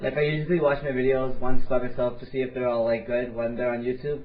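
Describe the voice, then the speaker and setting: A man talks at a very fast pace with a medium pitch. Audible room echo surrounds his voice. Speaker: gaming commentator. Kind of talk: interview. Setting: voice chat call.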